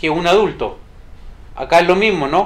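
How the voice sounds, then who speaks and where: Talking at a fairly quick pace, a man speaks with a high pitch and fairly even intonation. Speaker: statistics tutor. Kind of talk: tutorial.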